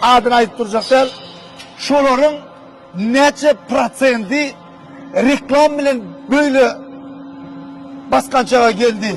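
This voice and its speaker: A man speaks at a very slow pace in an extremely high voice, with fairly even intonation, long and frequent pauses, and noticeable background noise. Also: very even loudness. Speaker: video blogger. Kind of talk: casual interview.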